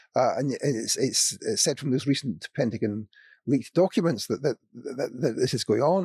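A man with a Scottish accent speaks at a moderate pace in a dark, mellow tone with a fairly high pitch, recorded very clean with a silent background and a dry, close sound with no echo. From Scotland. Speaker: former sociology professor. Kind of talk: panel discussion. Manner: halting.

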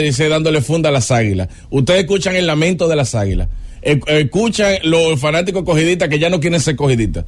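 A man talks at a fairly quick pace in a fairly high pitch, with ordinary pitch variation, very even loudness and noticeable background noise. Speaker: sports radio host. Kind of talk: sports talk radio. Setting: studio. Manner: animated.

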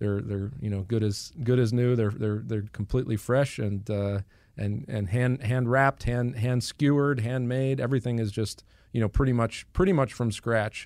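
A man's dark, mellow voice at a moderate pace, with fairly even intonation. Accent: American. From Boston, Massachusetts. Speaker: Orthodox priest. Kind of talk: radio interview.

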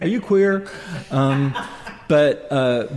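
With lively intonation, a man speaks over noticeable background noise. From San Francisco Bay Area. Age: 50s. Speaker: history museum director and activist. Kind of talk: interview.

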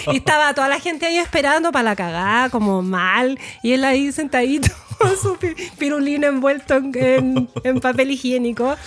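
Over noticeable background noise, a woman with a high pitch and lively intonation speaks at a moderate pace and very even loudness. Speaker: sex educator podcast co-host. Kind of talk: casual chat.

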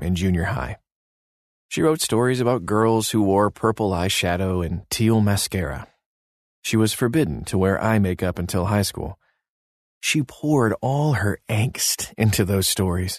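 A man with a plain, everyday voice, fairly low in pitch, at a moderate pace with lively intonation, over a quiet background. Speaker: devotional narrator. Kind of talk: devotional narration. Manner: calm, warm, gently paced; reverent, soothing, measured.

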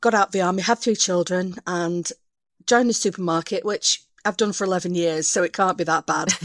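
A woman's unremarkable speaking voice at a medium pitch and fairly quick pace, dry and close with no echo, over a very clean, silent background. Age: 40s. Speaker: supermarket cashier, army veteran. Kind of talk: advice consultation.

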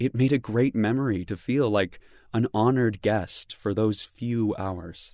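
Against a quiet background, a man speaks at a fairly slow pace and medium pitch. His tone is warm and dramatic, also dark and mellow, with ordinary pitch variation. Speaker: devotional narrator. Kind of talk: scripted devotional narration. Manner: warm, measured, gently dramatic.

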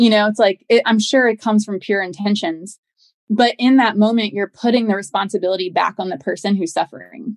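At a fairly quick pace, a woman with a medium-pitched voice, a plain, everyday voice, speaks with ordinary pitch variation in a dry, close sound with no echo. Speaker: founder of a grief support company. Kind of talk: interview.

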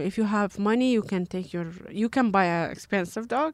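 In a Kurdish accent, a woman speaks at a moderate pace with a medium pitch and lively intonation. The sound is dry and close with no echo, on a very clean recording with a silent background. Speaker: animal rights activist. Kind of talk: interview. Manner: halting.

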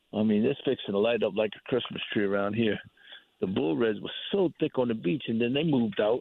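A man speaks at a fairly quick pace in a medium pitch, with ordinary pitch variation. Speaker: hunting and fishing guide. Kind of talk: casual chat. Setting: outdoors.

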